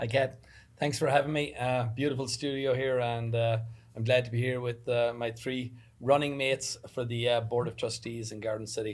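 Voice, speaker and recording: A man's monotone, flat delivery at a moderate pace. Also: medium pitch for a man. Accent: Irish. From Ireland. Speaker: construction business owner, election candidate. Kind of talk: panel discussion, candidate introduction. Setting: studio. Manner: frequent fillers.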